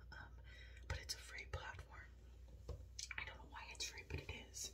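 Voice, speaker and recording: A woman whispering, with light background noise. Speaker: ASMR vlogger. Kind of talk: ASMR skincare chat. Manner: whispered. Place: bathroom. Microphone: phone near.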